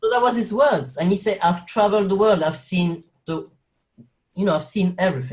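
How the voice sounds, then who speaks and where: Speaking in a French accent, a man with a high voice uses lively intonation at a fairly quick pace. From French-speaking Belgium. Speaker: actor and carer. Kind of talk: interview conversation. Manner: halting, with many fillers.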